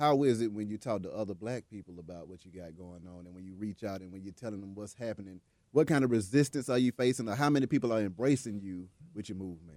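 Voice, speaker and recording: Very fast and fairly low in pitch, a man's dark, mellow voice shows ordinary pitch variation on a very clean recording with a silent background. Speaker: radio host. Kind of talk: radio interview. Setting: radio studio.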